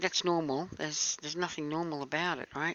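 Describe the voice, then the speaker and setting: Her voice sits at a fairly low pitch for a woman, with fairly even intonation. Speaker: conspiracy video maker. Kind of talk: casual video commentary. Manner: fast; halting, many fillers.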